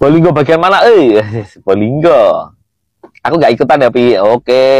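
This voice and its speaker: With an East Javanese accent, a man speaks with lively intonation at a very even loudness. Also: fairly high pitch for a man, moderate pace. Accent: Kediri Javanese accent, sounds harsh. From East Java (Kediri). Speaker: TikTok live streamer. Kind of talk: casual live chat.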